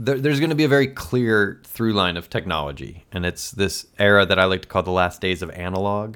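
In an ordinary speaking voice with an American accent, a man talks at a fairly quick pace with lively intonation, a fairly low pitch and hardly any pauses, on a very clean recording with a silent background. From Elmhurst, Illinois, US Midwest. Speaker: podcast host and documentary filmmaker. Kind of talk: casual interview chat.

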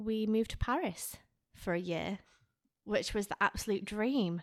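This woman has a Lancashire accent. Her pitch is fairly high. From northern England, Lancaster area. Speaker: podcast co-host. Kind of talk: casual chat.

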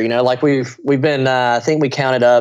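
Against a quiet background, a man uses an ordinary speaking voice at a fairly quick pace with fairly even intonation. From US South, small-town Louisiana. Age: 20s. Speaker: aerobatic air show pilot. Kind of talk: casual interview.

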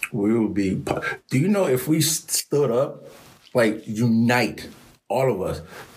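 A man talks at a very slow pace with lively intonation. His voice is somewhat breathy. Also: medium pitch for a man. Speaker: podcast host. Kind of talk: casual interview chat.

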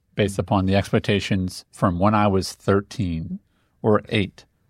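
A man with an American accent and an ordinary speaking voice talks at a fairly low pitch with fairly even intonation, in a very clean recording with a silent background and a dry, close sound with no echo. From Indiana, US Midwest. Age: 40s. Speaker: business coach, podcast guest. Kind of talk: podcast conversation.

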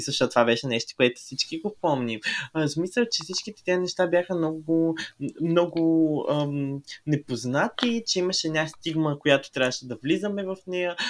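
A man with an unremarkable speaking voice, at a moderate pace with ordinary pitch variation. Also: fairly high pitch for a man. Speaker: podcast co-host. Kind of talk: casual chat.

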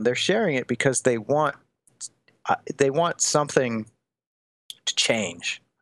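Speaking at a fairly slow pace with a Midwestern American accent, a man with a fairly high-pitched voice is heard in a dry, close sound with no echo against a quiet background. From US Midwest, Des Moines, Iowa. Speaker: college teacher and author. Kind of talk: casual chat.

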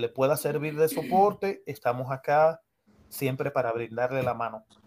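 With an unremarkable speaking voice, a man talks at a moderate pace and medium pitch, using ordinary pitch variation. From Dominican Republic, San Cristóbal. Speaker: Red Cross rescue volunteer. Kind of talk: interview. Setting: studio.

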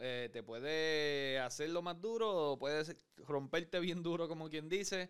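A man talks at a fairly slow pace in a normal speaking voice. His pitch is fairly high and varies in an ordinary way. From Puerto Rico. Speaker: podcast host. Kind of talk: casual interview.

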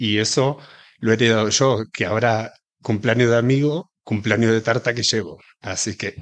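A man speaks with an Argentine accent at a medium pitch and with fairly even intonation. The recording is very clean, with a silent background. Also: moderate pace. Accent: Argentine, marked. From Argentina, rural Buenos Aires province. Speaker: chef and pastry cook. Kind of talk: interview.

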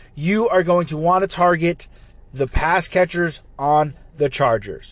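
The man talks at a moderate pace. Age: 30s. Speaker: fantasy football podcast host. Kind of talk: casual solo commentary.

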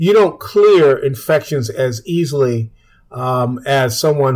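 This man's voice is somewhat breathy. The rise and fall of his pitch is ordinary. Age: 70s. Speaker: physician and public health association director. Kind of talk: radio interview. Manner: hesitant, many fillers.

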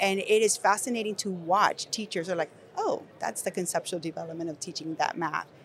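There is noticeable background noise as a woman talks in a Spanish accent. Her pitch is medium with ordinary variation, and her pace is fairly quick. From Nicaragua. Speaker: education company executive. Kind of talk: conversational panel discussion. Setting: recorded at an education conference.

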